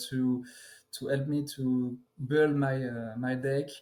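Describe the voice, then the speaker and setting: A man with a French accent, with audible room echo. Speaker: card game player. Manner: halting.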